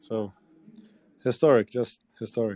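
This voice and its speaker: In a Spanish accent, the speaker has a dark, mellow tone. The pace is moderate and the intonation fairly even. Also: man. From El Salvador. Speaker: political campaign manager. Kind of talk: casual chat. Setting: call from inside Congress chamber.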